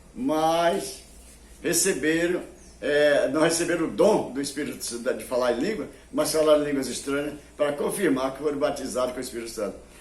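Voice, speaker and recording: With audible room echo, a man talks at a fairly quick pace and fairly high pitch, using ordinary pitch variation. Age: 80s+. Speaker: preacher. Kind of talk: sermon. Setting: television broadcast.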